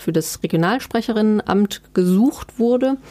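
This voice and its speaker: This woman's voice has a dark, mellow tone. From eastern Germany (Erfurt, Thuringia). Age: 30s. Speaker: book editor and journalist. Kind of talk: interview conversation.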